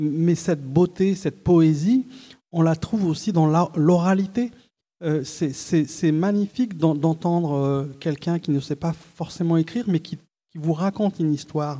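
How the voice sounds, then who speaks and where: A high-pitched man at a fairly slow pace. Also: ordinary pitch variation. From Algeria (Oran), moved to France at 9. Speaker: journalist and literary critic, novelist. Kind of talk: panel talk at a literary festival. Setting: stage with live audience. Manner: halting, frequent word repetitions.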